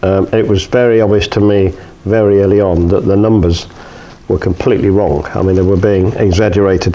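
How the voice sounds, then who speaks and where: In a British accent, a man speaks with fairly even intonation and very even loudness. Noticeable background noise is present. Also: fairly low pitch for a man, fairly quick pace. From UK. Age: 70s. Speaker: retired journalist and filmmaker. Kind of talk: interview. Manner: hesitant, many fillers.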